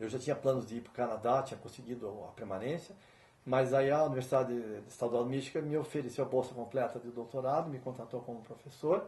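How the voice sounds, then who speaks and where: A somewhat breathy man's voice at a medium pitch and a very fast pace. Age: 50s. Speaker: musician and professor. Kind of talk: interview.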